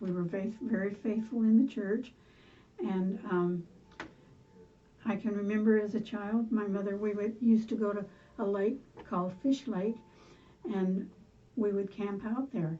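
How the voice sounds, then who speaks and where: Her pitch medium and her intonation fairly even, a woman speaks somewhat breathily at a moderate pace with long, frequent pauses. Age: 80s+. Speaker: grandmother telling life stories. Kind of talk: oral history interview. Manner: halting.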